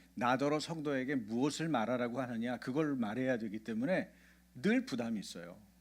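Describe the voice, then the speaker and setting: Speaking very fast, a man uses lively intonation. Everything is very clean, and the background is silent. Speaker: pastor. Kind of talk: sermon. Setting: church. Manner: childlike simple intonation for kids; interactive, questions to congregation.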